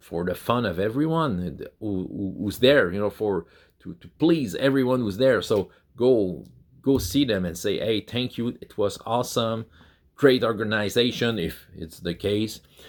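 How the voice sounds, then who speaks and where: In a Quebec accent, a man speaks fairly slowly at medium pitch with ordinary pitch variation and big swings in loudness, on a very clean recording with a silent background. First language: French. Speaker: YouTuber on tabletop role-playing games. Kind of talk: casual talk to camera. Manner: halting, many repeated words and fillers.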